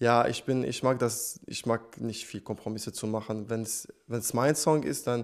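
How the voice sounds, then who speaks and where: Over a quiet background, a man with a non-native accent talks at medium pitch and a fairly slow pace. He takes hardly any pauses. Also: fairly even intonation. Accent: foreign accent in German. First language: not German (speaking German). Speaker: singer; guest. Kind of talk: interview. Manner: hesitant, many fillers. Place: studio. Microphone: handheld.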